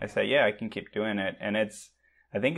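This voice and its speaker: A man speaks with a Portuguese accent. His pitch sits fairly low. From Brazil, Sao Paulo. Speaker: remote tech worker and online teacher. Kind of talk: casual chat. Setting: video call.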